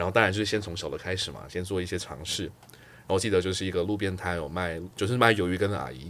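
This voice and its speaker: Very deep and low, the man's voice sits far down in pitch. He talks at a very fast pace. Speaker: career guest, customer success lead. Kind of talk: casual interview chat.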